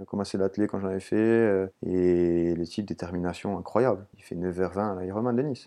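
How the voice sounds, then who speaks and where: With hardly any pauses, a man speaks in a very deep, low pitch. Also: fairly even intonation, moderate pace. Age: 30s. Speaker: trail runner and urban planner. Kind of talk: interview. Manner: halting.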